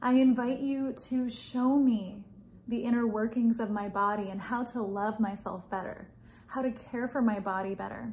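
A woman speaks with a gentle tone at a fairly high pitch. Her voice is somewhat breathy, with fairly even intonation. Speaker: spiritual content creator leading prayer. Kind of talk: guided prayer and meditation, fervent and devotional in the final stretch. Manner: soft-spoken, gentle and heartfelt, slow and tender, pleading. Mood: calm, soft, devotional. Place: home room. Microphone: phone near.

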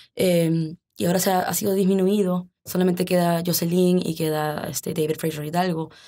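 A woman speaks at a moderate pace with hardly any pauses. Her fairly low voice has a dark, mellow tone and flat, monotone intonation. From US, Arlington, Virginia, Peruvian parents. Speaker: lawyer and former state legislator. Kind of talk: interview. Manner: halting, many fillers and repetitions.

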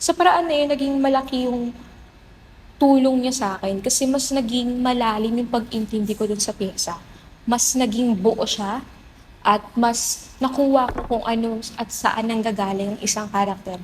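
Moderately paced speech from a woman, fairly high in pitch with ordinary pitch variation, amid noticeable background noise. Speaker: theater actor. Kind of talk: interview.

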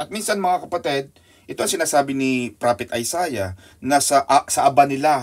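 An unremarkable speaking voice, this man's is fairly high in pitch, with lively intonation at a moderate pace. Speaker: Bible study teacher. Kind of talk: Bible study teaching.

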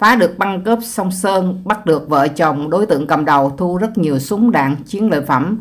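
A woman's ordinary speaking voice at medium pitch, lively intonation, very even loudness, moderate pace and hardly any pauses. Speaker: YouTube channel host narrating crime history. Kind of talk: narration of a true-crime story.

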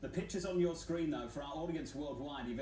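Background noise is clearly present. Over it, a man talks. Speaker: news anchor. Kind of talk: live news commentary.

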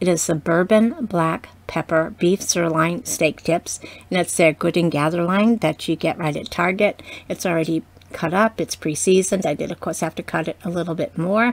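The woman's voice sits at a fairly low pitch with ordinary variation. She speaks at a moderate pace. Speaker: wine vlogger. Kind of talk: casual vlog chat. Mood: cheerful, relaxed. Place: home room. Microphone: webcam.

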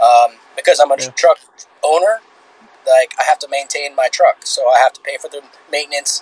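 The speaker is a man with a fairly quick pace. There's no echo, so the sound is dry. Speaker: podcast guest. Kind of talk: interview answer. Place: home room. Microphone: video call.

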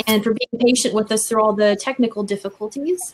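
Against light background noise, a woman talks in a fairly high pitch. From USA. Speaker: university international office staff. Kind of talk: webinar talk. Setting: video call. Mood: friendly, appreciative. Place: office. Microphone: video call.

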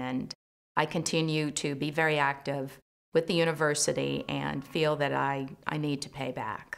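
A woman's very deep, low voice with vocal fry, monotone, flat intonation and a moderate pace. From US Midwest, Chicago suburbs; Illinois. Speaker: community leader. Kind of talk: interview. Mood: calm, proud. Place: studio.

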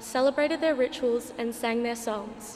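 A woman speaks in a high voice with fairly even intonation. Light background noise is present. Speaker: student reader at Mass. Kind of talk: formal liturgical welcome. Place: church. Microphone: podium.

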